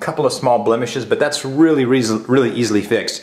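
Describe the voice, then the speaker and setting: Very fast speech from a man, pitch shifting in an ordinary way. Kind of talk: property tour commentary. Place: empty room. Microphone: phone near.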